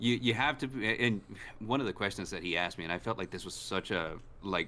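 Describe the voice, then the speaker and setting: A man talks at a fairly quick pace in a fairly low pitch, with ordinary pitch variation. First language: Spanish. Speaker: gaming streamer. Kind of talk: casual chat. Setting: live stream with co-hosts.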